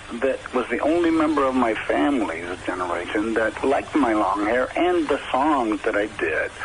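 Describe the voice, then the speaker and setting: Over noticeable background noise, a man with an American accent speaks at a fairly slow pace with very wide pitch swings. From US Northeast, Providence, Rhode Island. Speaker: rock musician. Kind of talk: radio interview.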